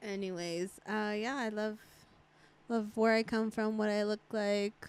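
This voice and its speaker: With a Spanish accent, a woman talks at a fairly slow pace in a fairly high pitch. Her intonation stays monotone and flat. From Mexican-American, US. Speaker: podcast host. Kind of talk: casual chat.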